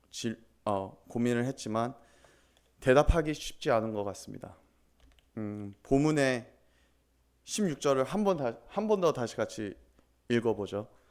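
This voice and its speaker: Speaking with a non-native accent, a man uses ordinary pitch variation. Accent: non-native Korean. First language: English (speaking Korean). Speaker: pastor. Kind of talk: sermon. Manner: halting.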